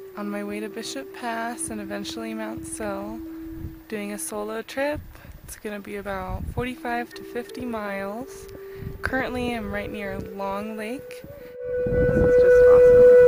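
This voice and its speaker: Amid noticeable background noise and audible room echo, a woman with an American accent speaks at a fairly slow pace. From California. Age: 20s. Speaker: backpacker vlogger. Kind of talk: video diary. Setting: outdoors.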